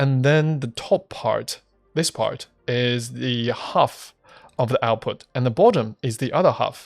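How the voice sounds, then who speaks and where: This is a plain, everyday voice. It moves at a fairly slow pace with ordinary pitch variation. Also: man, medium pitch for a man. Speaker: gaming youtuber. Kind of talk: gameplay commentary.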